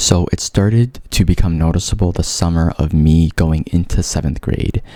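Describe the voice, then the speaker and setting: A man speaks at a moderate pace with a very deep, low pitch and fairly even intonation. Noticeable background noise runs underneath. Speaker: vlogger with a stutter. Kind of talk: personal testimony vlog. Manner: casual with repetitions and fillers.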